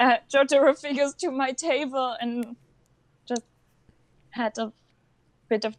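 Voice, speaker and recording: A woman with a non-native accent, at a fairly slow pace with ordinary pitch variation. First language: not English. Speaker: cosplayer and anime fan. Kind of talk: interview. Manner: halting.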